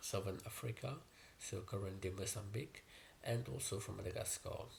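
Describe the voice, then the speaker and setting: A man speaks in a fairly low pitch with a somewhat breathy voice. His pitch varies in an ordinary way. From Mauritius. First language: Mauritian Creole. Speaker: YouTuber. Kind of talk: personal explainer video. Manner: hesitant, many fillers.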